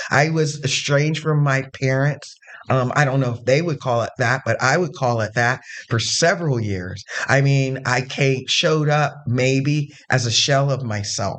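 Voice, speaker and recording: A man speaks at a moderate pace with medium pitch and ordinary pitch variation. Noticeable background noise sits behind him. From Zanesville, Ohio. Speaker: gender performer and community activist. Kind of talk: interview conversation.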